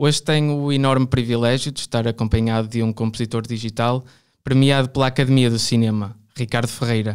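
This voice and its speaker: A man's medium-pitched voice, flat and monotone, at a fairly quick pace on a very clean recording with a silent background. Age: 20s. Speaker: podcast host and art student. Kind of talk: interview.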